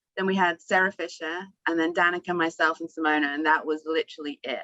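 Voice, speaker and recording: A woman speaks with an English accent in a bright, sharp tone. The sound is dry and close, with no echo. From England. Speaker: former racing driver. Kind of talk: panel discussion.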